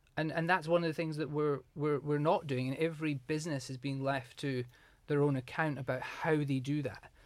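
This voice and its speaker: In a Scottish accent, a man talks at a fairly quick pace with fairly high pitch and fairly even intonation. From southwest Scotland, small rural town. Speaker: hotel HR director. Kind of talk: interview.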